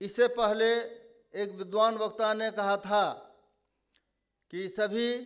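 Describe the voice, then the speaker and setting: A man's high-pitched voice against a quiet background. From Nepali-speaking family, Maithili region. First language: Nepali (speaking Hindi). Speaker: conference speaker. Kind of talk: conference speech. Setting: stage with audience.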